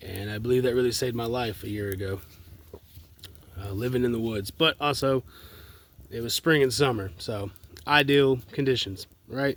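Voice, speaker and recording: With an Appalachian accent, a man speaks at medium pitch and a moderate pace, with ordinary pitch variation and long, frequent pauses. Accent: Southern US (Appalachian North Carolina). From US South, Asheville, North Carolina. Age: 20s. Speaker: vlogger. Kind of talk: personal video message. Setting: outdoors in the woods at night by a fire. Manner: halting, many fillers.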